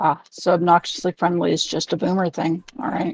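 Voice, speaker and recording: Someone performs a put-on character voice, raspy and middle-pitched, moving at a fairly quick pace. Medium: machinima. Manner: dry, deadpan.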